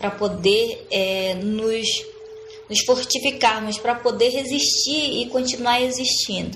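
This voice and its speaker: Delivered at a very slow pace with ordinary pitch variation, the speech carries audible room echo and noticeable background noise. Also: woman, high pitch for a woman. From Amazonas, Brazil (Sateré-Mawé community, lower Amazon). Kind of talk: interview. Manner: halting, many repetitions and fillers.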